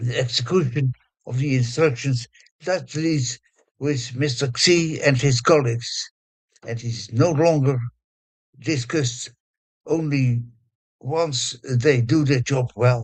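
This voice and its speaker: A man with a Dutch accent speaks very slowly in a medium pitch, his voice somewhat breathy. His intonation is fairly even, with long, frequent pauses. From Netherlands. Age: 80s+. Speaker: conference speaker. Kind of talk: conference speech. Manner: halting.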